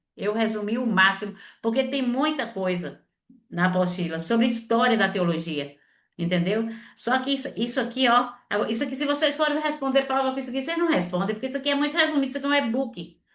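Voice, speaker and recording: Audible room echo surrounds a woman's high voice. She talks at a very fast pace with lively intonation. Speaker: seminary teacher. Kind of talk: online lecture. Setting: video call.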